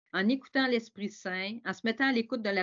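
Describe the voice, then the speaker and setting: A woman talks in a Quebec accent at a fairly quick pace. Her pitch variation is ordinary. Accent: Québécois French. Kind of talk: webinar talk. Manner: hesitant, with many repetitions.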